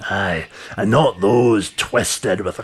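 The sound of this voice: Everything here is read in an unforced reading voice.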